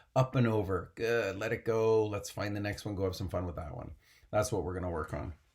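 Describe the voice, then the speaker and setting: This man has a fairly low pitch, a somewhat breathy, animated tone and ordinary pitch variation at a fairly quick pace. The recording is very clean, with a silent background. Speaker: mental performance coach for equestrian athletes. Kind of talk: motivational coaching talk.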